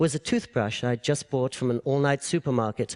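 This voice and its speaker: With an English accent, a man talks at a fairly quick pace in a dry, close sound with no echo. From England. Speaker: public speaker. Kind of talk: public talk.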